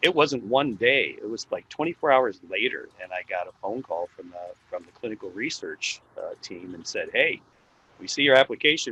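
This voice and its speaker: The speaker is a man, talking at a moderate pace. There is no echo, and the sound is dry and close. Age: 60s. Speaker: healthcare worker, vaccine trial participant. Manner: halting, many fillers.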